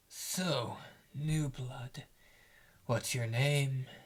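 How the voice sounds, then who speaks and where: A man's gravelly put-on character voice, medium in pitch, with fairly even intonation. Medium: read story. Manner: gruff, sardonic.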